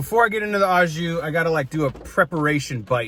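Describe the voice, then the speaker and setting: At a fairly quick pace, a man talks in an animated tone with a high pitch. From Wisconsin. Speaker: food vlogger. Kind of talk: casual food review. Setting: in a car.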